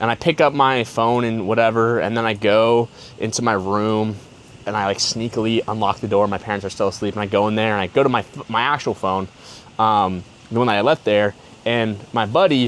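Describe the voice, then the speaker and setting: A medium-pitched man at a fairly quick pace. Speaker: podcaster telling personal stories. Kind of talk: casual storytelling monologue. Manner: fast; animated.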